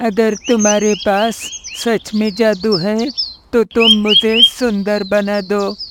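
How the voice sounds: A cartoonish character voice, fairly high in pitch, moves at a very slow pace.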